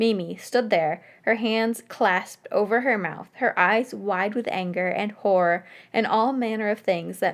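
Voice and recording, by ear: This is reading aloud in a natural voice. Pitch variation is ordinary.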